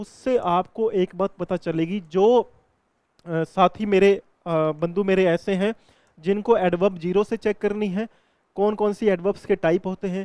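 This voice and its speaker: The man's tone is dark and mellow. The sound is dry and close, with no echo. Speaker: English grammar teacher. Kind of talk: lecture. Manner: explanatory, repetitive.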